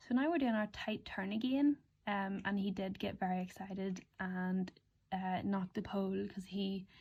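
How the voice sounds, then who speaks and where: This woman's voice is somewhat breathy, with a dark, mellow tone and ordinary pitch variation. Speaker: equestrian vlogger. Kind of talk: voiceover commentary. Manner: casual, hesitant with many ums.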